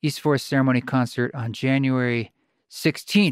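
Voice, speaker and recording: Fairly high-pitched for a man, this speaker has an unremarkable speaking voice and a fairly quick pace. The recording is very clean with a silent background, and the sound is dry and close with no echo. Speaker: podcast host and musician. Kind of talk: casual interview conversation.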